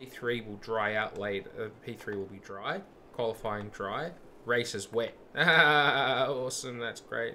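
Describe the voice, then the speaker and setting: At a very slow pace, a man with an Australian accent speaks at medium pitch with ordinary pitch variation and big swings in loudness. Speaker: gaming streamer. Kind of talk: live gameplay commentary. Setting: live stream.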